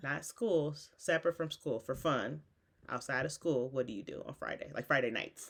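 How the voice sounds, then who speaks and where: This woman speaks with a very deep, low pitch and ordinary pitch variation. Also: moderate pace. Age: 40s. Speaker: parent and channel host. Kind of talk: casual interview. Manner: patient, encouraging.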